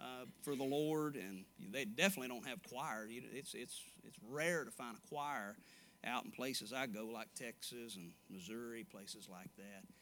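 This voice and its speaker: A man with a Southern US accent, medium pitch, lively intonation and a moderate pace. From Arkansas. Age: 30s. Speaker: evangelist preacher. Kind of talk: sermon. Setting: church. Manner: animated.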